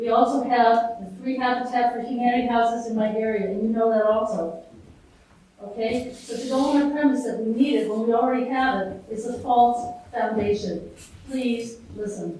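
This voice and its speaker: Over noticeable background noise and audible room echo, a woman speaks at a moderate pace in a fairly high voice with fairly even intonation. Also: big swings in loudness. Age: 70s. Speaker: resident speaking at public hearing. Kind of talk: public comment at town meeting. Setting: public hearing.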